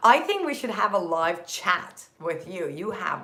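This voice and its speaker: A woman speaks at a fairly slow pace. Audible room echo can be heard around her voice. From Turkey, Istanbul. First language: Turkish. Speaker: productivity content creator. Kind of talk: live stream chat. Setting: live stream. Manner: energetic.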